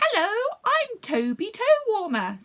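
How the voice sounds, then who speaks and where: Projecting loudly in a put-on character voice, a woman speaks at an extremely high pitch and a fairly slow pace. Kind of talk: cheerful, silly. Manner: funny, playful.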